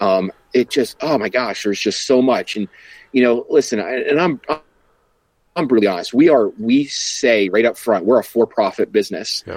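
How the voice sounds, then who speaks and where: A man's voice at medium pitch, a normal speaking voice, in dry, close sound with no echo. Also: ordinary pitch variation, moderate pace. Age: 40s. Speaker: coffee company founder and entrepreneur. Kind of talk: casual interview.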